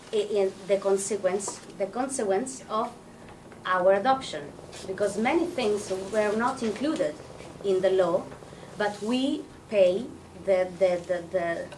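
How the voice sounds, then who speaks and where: A woman with a non-native accent speaks at a fairly slow pace with long, frequent pauses. Her pitch is medium with ordinary variation, and noticeable background noise is present. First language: Italian. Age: 30s. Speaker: psychotherapist and adoptee representative. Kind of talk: presentation. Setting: event with audience. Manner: halting.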